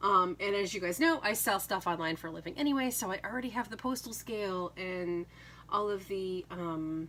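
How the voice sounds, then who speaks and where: A woman's bright, sharp voice sits at a medium pitch, moving at a fairly quick pace with ordinary pitch variation. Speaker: craft YouTuber and online seller. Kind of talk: casual chat. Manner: hesitant, many fillers.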